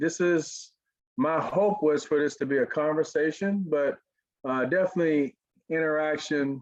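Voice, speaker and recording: The speaker uses an Arkansas accent at a fairly slow pace with ordinary pitch variation. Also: man. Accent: Southern (Arkansas). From US South, Pine Bluff, Arkansas. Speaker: motivational speaker, former pro football player. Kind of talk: webinar talk.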